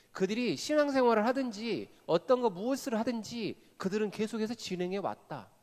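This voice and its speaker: Here a man with a Jeolla accent speaks in a high pitch with ordinary pitch variation. His tone is animated. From Korea, Jeolla (Gwangju). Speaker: pastor / seminar speaker. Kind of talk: sermon-style seminar talk. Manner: animated, engaging audience with questions.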